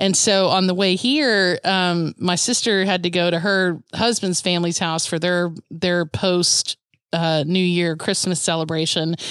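Against a quiet background, a woman with an unremarkable speaking voice talks at a fairly slow pace with hardly any pauses, fairly low pitch, fairly even intonation and very even loudness. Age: 40s. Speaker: podcast co-host. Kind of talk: casual chat. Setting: video call.

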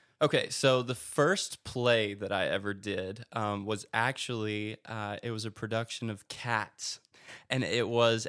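In a very clean recording with a silent background, a man speaks with an American accent at medium pitch and fairly even intonation. The sound is dry and close with no echo, and it is a plain, everyday voice. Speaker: theater director. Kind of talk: casual chat.

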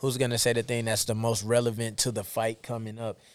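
Talking at a fairly quick pace in a plain, everyday voice, a man with an American accent and medium pitch is heard on a very clean recording with a silent background. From United States. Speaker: professional boxer. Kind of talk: interview.

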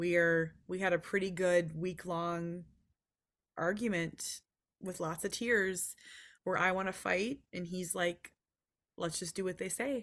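Speaking with an American accent at medium pitch, a woman talks at a fairly slow pace with fairly even intonation and long, frequent pauses, on a very clean recording with a silent background. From Minnesota. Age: 40s. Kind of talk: casual interview chat.

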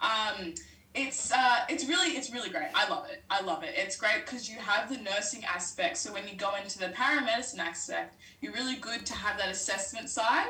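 Amid noticeable background noise and audible room echo, a woman speaks fairly quickly at a fairly high pitch with lively intonation. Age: 20s. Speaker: nursing and paramedicine student. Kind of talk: casual chat.

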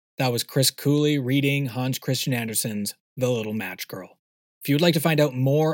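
With an unremarkable speaking voice, a man speaks at a moderate pace in a medium pitch, his pitch varying in an ordinary way, recorded with a dry, close sound and no echo. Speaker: podcast host. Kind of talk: casual chat. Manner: chatty, informal.

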